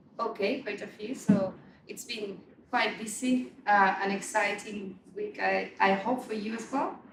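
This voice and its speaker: Amid noticeable background noise and audible room echo, a woman talks at a fairly slow pace with fairly even intonation. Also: medium pitch for a woman, big swings in loudness. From Spain (Barcelona). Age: 40s. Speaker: meetup organizer and marketing head. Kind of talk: event introduction speech. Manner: hesitant, many fillers and repeats.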